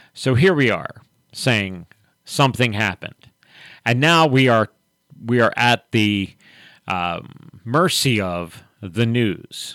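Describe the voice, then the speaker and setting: With an unremarkable speaking voice, a man talks in a medium pitch with ordinary pitch variation. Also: dry, close sound with no echo. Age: 60s. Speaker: pastor and radio host. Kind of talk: radio talk show discussion with prayer. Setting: radio studio, live broadcast.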